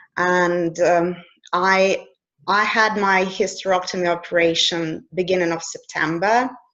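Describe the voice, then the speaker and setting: In a Russian accent, the speaker talks at a fairly slow pace with a flat, monotone delivery and very even loudness. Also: woman, medium pitch for a woman. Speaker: coach. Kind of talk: casual interview conversation.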